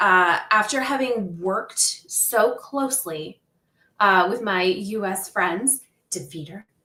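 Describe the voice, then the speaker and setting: A woman's bright, sharp voice at medium pitch, very slow in pace, with lively intonation. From northern Ontario, Canada. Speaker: crochet business owner and livestream host. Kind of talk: casual livestream chat. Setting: livestream.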